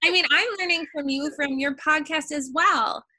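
A woman's raised, projected voice comes through with a bright, sharp tone. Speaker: podcast host. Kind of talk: casual interview chat.

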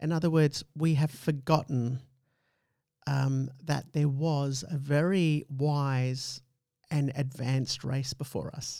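In a very clean recording with a silent background, a man speaks very slowly with a dark, mellow tone, a fairly high pitch and fairly even intonation. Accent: Australian. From Australia. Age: middle-aged. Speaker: podcast host. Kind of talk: casual chat.

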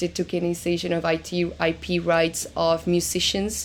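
A woman speaks with a slight Argentine accent. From Argentina. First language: Spanish. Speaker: crypto lawyer. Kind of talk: interview.

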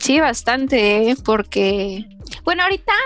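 A woman speaks over noticeable background noise. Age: 20s. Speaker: university student. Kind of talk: casual chat. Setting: call. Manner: animated.

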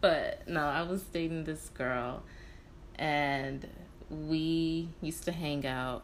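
Very slow delivery with fairly even intonation and audible room echo. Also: woman, very deep, low pitch for a woman. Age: 20s. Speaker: podcast host. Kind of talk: casual chat.

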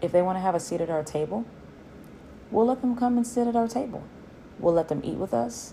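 A woman with a dark, mellow tone talks at a very fast pace, her pitch swinging very widely, broken by long, frequent pauses. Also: medium pitch for a woman. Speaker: guest. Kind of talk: conversational discussion.

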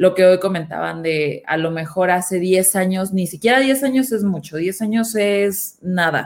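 In an ordinary speaking voice of medium pitch, a woman talks at a fairly slow pace with hardly any pauses and ordinary pitch variation, on a very clean recording with a silent background. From northern Mexico, Nuevo León. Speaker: marketing head. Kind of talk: panel discussion.

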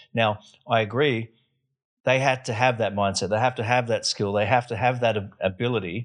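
A man speaks at a fairly quick pace in a medium pitch, with fairly even intonation and a plain, everyday voice. The background is quiet. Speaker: podcast host. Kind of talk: casual interview chat.

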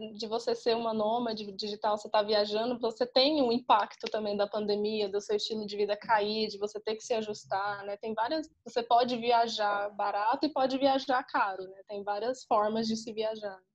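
A woman's plain, everyday voice, fairly high in pitch with fairly even intonation, at a moderate pace with hardly any pauses and big swings in loudness. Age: 20s. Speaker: travel podcaster and digital nomad. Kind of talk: casual interview.

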